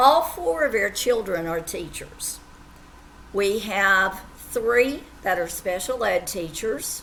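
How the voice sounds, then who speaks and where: A woman with an Appalachian accent speaks at a very slow pace with lively intonation over noticeable background noise. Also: medium pitch for a woman. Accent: southwest Virginia Appalachian. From far southwest Virginia (Appalachia). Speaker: teacher. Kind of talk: self-introduction to students.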